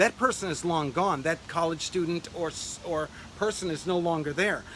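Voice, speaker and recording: A man speaks at a high pitch over noticeable background noise. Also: ordinary pitch variation. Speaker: urban farming grower and channel host. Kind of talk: video monologue. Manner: fast.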